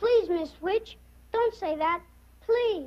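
Using a put-on character voice, a woman squeaks out lines at an extremely high pitch with lively intonation. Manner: disguised.

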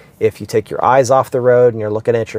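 A man talks in a monotone, flat way. The sound is dry with no echo. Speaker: car vlogger. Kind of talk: casual vlog explanation. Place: car. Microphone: lapel.

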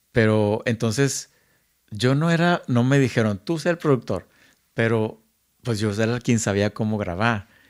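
A plain, everyday voice from a man, medium in pitch with ordinary pitch variation, at a fairly slow pace and very even loudness, on a very clean recording with a silent background. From Monterrey, northern Mexico. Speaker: music producer and recording engineer. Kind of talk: casual chat. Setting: at home.

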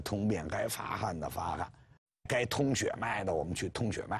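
The speaker is a man. His pitch swings very widely against a quiet background. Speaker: professor lecturer. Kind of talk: lecture. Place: studio. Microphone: lapel.

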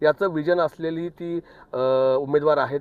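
A man's voice with ordinary pitch variation. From Wada, Palghar district, Maharashtra. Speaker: concerned citizen. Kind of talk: public appeal to voters.

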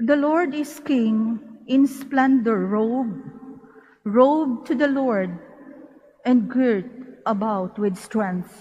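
A woman speaks at a very slow pace, with long, frequent pauses. Her pitch is high, and it varies in an ordinary way. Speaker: lector at mass. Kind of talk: scripture reading. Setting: church.

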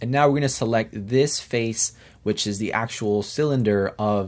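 A man with a fairly low pitch speaks at a moderate pace in an ordinary speaking voice, with ordinary pitch variation. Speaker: CAD tutorial maker. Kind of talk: tutorial. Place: home room.

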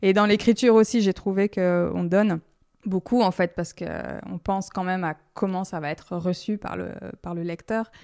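This woman has a dark, mellow tone at a medium pitch, speaking at a moderate pace with fairly even intonation. The recording is very clean, with a silent background. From France, Lyon. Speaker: dance teacher. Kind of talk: interview.

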